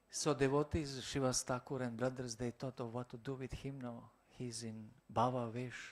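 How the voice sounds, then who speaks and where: Speaking in a Croatian accent at a moderate pace, the voice stays monotone and flat on a very clean recording with a silent background. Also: man, medium pitch for a man. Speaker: monk lecturer. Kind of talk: lecture. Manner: halting.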